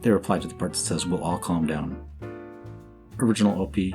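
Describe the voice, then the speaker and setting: Fairly quick speech from a man with a very deep, low pitch, music playing in the background. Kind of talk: commentary reading social media posts.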